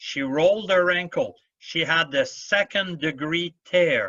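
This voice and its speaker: Speaking at a very slow pace in a French accent, a man uses a high pitch. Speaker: badminton referee. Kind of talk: Q&A answers at an officials' seminar.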